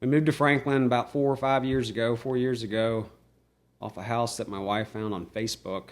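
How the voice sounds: A man at medium pitch, fairly quick in pace, with fairly even intonation.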